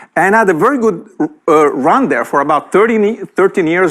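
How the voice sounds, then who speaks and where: This man speaks at a fairly quick pace with an Italian accent. His intonation is lively. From Italy. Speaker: entrepreneur and speaker. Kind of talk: keynote talk. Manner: animated.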